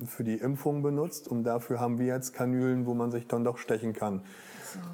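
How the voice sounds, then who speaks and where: Here a man talks at a moderate pace. His voice has a medium pitch. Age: 30s. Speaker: intensive care nurse. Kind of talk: interview.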